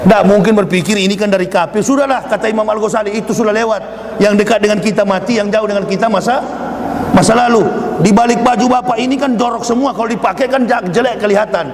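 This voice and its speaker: A man with a high voice speaks at a very fast pace, with fairly even intonation and very even loudness. Audible room echo and noticeable background noise surround him. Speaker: preacher. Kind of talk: sermon. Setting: mosque with audience. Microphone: poor sound system, clip-on mic.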